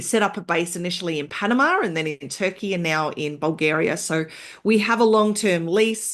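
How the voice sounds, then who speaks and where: A woman speaks at a moderate pace. Behind her, the background stays quiet. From Australia. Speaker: entrepreneur, software founder. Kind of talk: podcast interview. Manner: halting, with fillers and false starts.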